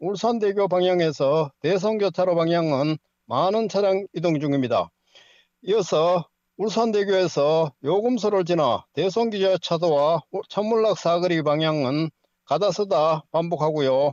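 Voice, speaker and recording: Against a quiet background, with a dry sound with no echo, a man speaks high in pitch at a fairly slow pace, with ordinary pitch variation and very even loudness. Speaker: traffic correspondent. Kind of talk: news reading. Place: studio.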